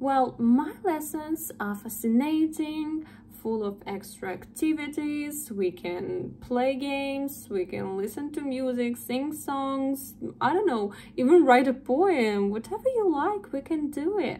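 In a Russian accent, a woman speaks very slowly at a high pitch. Her intonation is lively, with light background noise behind her. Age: 20s. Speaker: English tutor. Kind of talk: sales pitch. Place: home room. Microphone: phone near.

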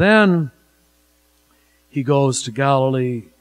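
A man speaks at a fairly slow pace while faint music plays in the background. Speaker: priest preaching. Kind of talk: sermon. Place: church. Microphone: podium.

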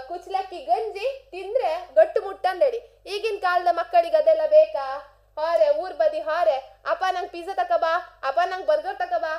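This voice has a dark, mellow tone and lively intonation. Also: woman. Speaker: radio host. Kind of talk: radio monologue. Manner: animated.

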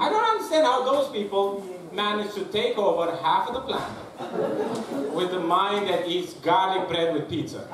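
Over noticeable background noise and audible room echo, a man talks with a Romanian accent. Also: moderate pace, hardly any pauses. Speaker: stand-up comedian. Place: stage.

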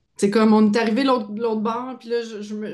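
A woman speaks at a fairly high pitch. Behind her, the background is quiet. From Quebec. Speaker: podcast host. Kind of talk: casual chat. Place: home room. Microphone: video call.

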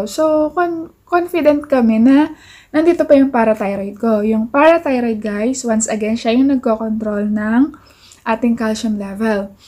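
A woman with a high pitch and a dark, mellow tone at a fairly slow pace. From Philippines. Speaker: vlogger. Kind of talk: casual vlog talk to camera. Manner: relaxed. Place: home room. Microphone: phone near.

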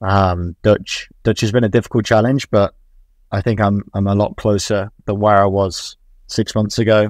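A man with an English accent at a fairly low pitch, monotone and flat, moderate pace, dry sound with no echo and a quiet background. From England. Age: 20s. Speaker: football coach. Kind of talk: interview. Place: home room. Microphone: earbuds.

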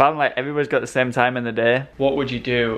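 Intonation is monotone and flat. Words come at a fairly quick pace. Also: man. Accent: northern English. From Northern England. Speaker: vlogger. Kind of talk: casual vlog.

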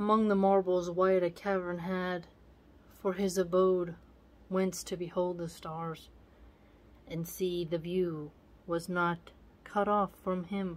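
A woman's very slow, monotone, flat delivery with long, frequent pauses. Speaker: video channel host reading poetry aloud. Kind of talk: literary poem reading aloud with casual commentary. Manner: measured, formal reading of archaic verse. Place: home room. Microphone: phone near.

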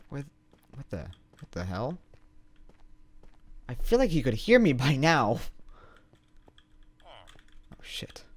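A man talks at a fairly slow pace with long, frequent pauses and very wide pitch swings. His loudness swings widely, and vocal fry runs through his voice. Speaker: gaming streamer. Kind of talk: casual stream commentary. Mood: confused, mildly annoyed.

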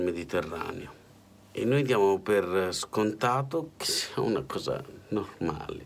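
With light background noise behind him, a man speaks in a fairly low pitch with lively intonation. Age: 40s. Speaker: political commentator. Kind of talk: spoken editorial. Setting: hotel room. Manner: impassioned. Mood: indignant, weary. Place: home room. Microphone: phone near.

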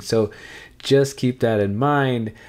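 A man speaks with lively intonation, and the background is quiet. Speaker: travel vlogger. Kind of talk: casual vlog chat. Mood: upbeat, smiling. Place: home room.

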